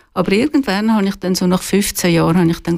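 A woman uses an ordinary speaking voice at medium pitch with lively intonation. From Switzerland, Zurich lake area. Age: 60s. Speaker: retired journalist and author. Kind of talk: radio interview. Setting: studio.

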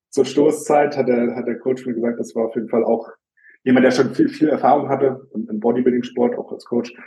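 A man speaks in a dark, mellow tone at medium pitch. His intonation is monotone and flat. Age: 20s. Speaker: bodybuilder. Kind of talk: casual chat.

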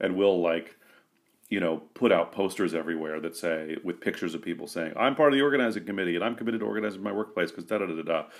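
This man talks at a very fast pace, his very deep, low voice showing ordinary pitch variation. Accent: American. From US West Coast, San Francisco. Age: 40s. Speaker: labor union organizer and comedian. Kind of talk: casual interview. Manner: halting, many fillers.

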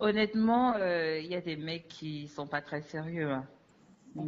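A woman speaks at a fairly slow pace in a very deep, low pitch. Her pitch varies in an ordinary way. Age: 20s. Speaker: dating app user sharing her story. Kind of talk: interview testimony.

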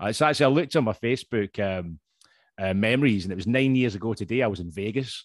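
A man with a Scottish accent talks very fast at a fairly low pitch with lively intonation, recorded dry and close with no echo against a quiet background. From Scotland. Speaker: podcast host. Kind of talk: casual chat. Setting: video call. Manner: joking, swearing.

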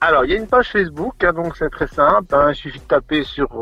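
A man with ordinary pitch variation. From Belgium, Charleroi (Wallonia). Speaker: charity head and primary school teacher. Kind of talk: radio interview. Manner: hesitant, many repetitions and fillers.

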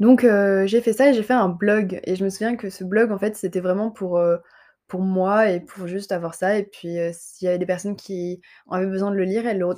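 A woman speaks with a dark, mellow tone at a medium pitch and a fairly quick pace. Her intonation is fairly even, and the recording is very clean with a silent background. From southern France, Montpellier. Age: 20s. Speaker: medical intern and content creator. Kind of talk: solo podcast monologue. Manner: hesitant, many fillers.

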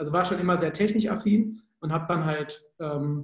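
With a Cologne accent, a man speaks at a moderate pace in a fairly high voice with ordinary pitch variation. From Germany, Cologne. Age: 30s. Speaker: sales psychologist. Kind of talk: podcast interview.

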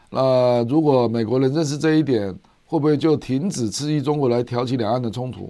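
Medium in pitch, a man talks at a fairly quick pace with ordinary pitch variation. He has an ordinary speaking voice. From Taiwan. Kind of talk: livestream commentary on international politics. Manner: frequent filler particles (啊, 哈).

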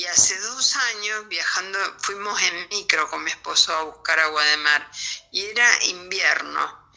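With noticeable background noise behind her, a woman speaks at a fairly slow pace in a medium pitch. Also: ordinary pitch variation. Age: 60s. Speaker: interviewee sharing health experience. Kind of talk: testimony. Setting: remote interview via voice messages.

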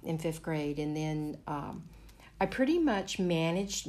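Amid audible room echo, a woman speaks with a fairly low voice and fairly even intonation. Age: 50s. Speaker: resort guest. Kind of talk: interview.

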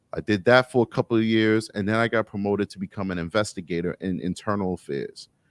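A man with a New York accent speaks at a fairly quick pace, fairly low in pitch, with ordinary pitch variation. The sound is dry and close with no echo, on a very clean recording with a silent background. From New York City, Harlem. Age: 30s. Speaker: police officer. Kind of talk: casual interview chat.

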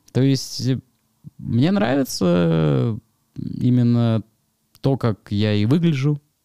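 A man speaks in a dark, mellow tone with lively intonation and very even loudness. Long, frequent pauses break up a dry, close sound with no echo. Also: medium pitch for a man, very slow pace. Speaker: event organizer and wrestling commentator. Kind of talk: casual chat.

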